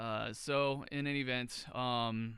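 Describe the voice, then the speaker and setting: The recording is very clean, with a silent background. A man speaks in a bright, sharp tone with fairly even intonation. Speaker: market analysis streamer. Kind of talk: live market analysis with screen share. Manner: halting, many fillers and stutters; casual.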